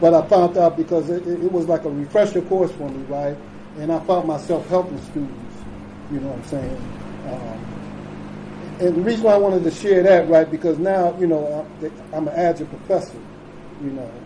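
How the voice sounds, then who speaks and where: There is noticeable background noise. A man with a fairly high pitch talks with fairly even intonation. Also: moderate pace, big swings in loudness. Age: 60s. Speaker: recovery speaker. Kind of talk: recovery share talk. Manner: halting with many fillers.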